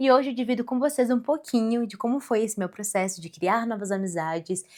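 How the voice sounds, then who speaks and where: A woman with an ordinary speaking voice talks at a fairly quick pace. Her pitch varies in an ordinary way. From Rio Grande do Sul, then Santa Catarina (southern Brazil). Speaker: podcaster. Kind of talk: personal storytelling monologue. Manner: casual, conversational.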